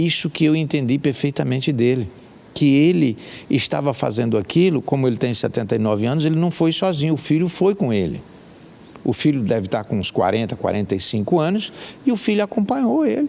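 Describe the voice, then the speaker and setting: At a fairly quick pace, a man talks in a fairly high pitch with very wide pitch swings. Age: 60s. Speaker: hiker and life coach. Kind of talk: interview. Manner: halting.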